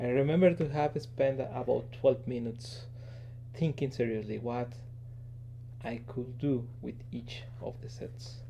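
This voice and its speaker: Spoken at a moderate pace with a non-native accent, the voice has a dark, mellow tone. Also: man. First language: not English. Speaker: engineer and toy collector. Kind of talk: casual show-and-tell video. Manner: halting, many fillers.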